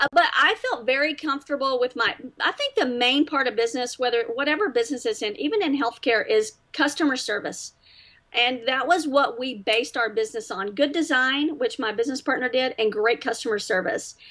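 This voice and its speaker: Fairly quick and high-pitched, a woman speaks with a bright, sharp tone and lively intonation. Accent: Southern. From Texas. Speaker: business owner. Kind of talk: interview.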